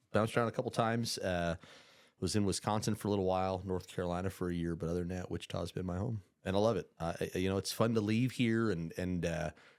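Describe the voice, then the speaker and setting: A man with a Midwestern accent talks very fast in a very deep, low voice with ordinary pitch variation. The recording is very clean, with a silent background. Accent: Midwestern tone. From upstate New York. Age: 40s. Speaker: podcast guest, insurance businessman. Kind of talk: casual interview chat.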